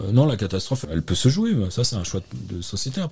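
Noticeable background noise fills the clip. Through it, a man can be heard speaking. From Normandy, France. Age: 50s. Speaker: fly-fishing and river protection volunteer. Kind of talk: interview. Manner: halting.

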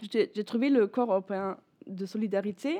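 A woman with a German accent speaks in a dark, mellow tone with ordinary pitch variation. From northern Germany, Bremen. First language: German (speaking French). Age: 20s. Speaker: former European volunteer, law student. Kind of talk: radio interview. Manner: halting, searching for words.

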